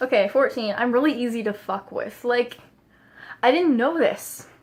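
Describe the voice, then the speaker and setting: A woman mumbles at a moderate pace. Her pitch is high, with ordinary pitch variation. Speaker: vlogger. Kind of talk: casual vlog monologue. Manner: mumbling; casual, filler-heavy.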